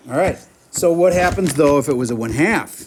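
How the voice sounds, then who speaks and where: Here a man talks at a fairly quick pace. His pitch variation is ordinary. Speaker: math teacher. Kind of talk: classroom lecture. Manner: animated.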